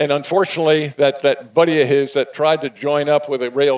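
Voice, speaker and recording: Here is a man with an ordinary speaking voice, pitched fairly high. He keeps a moderate pace. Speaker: event host. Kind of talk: live event interview.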